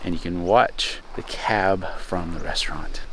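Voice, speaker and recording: Pitch varies in an ordinary way. The sound is dry with no echo, and there is light background noise. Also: man. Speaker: travel vlogger. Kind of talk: casual vlog chat. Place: open country. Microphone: phone near.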